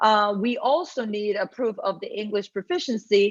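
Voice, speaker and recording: A woman speaks with a Spanish accent at a fairly high pitch, her intonation lively. The background is quiet. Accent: Spanish accent, noticeable. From Puerto Rico. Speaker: university academic officer. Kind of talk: Q&A session. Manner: conversational, many fillers.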